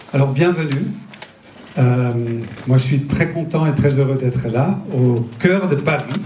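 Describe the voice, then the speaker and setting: Speaking with a Dutch accent at a very slow pace, a man with a fairly high pitch leaves long, frequent pauses and keeps a very even loudness, with audible room echo and noticeable background noise. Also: ordinary pitch variation. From Netherlands. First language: Dutch (speaking French). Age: 50s. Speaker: nutrition entrepreneur and speaker. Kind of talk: public talk. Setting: festival stage with audience. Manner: halting, many hesitations.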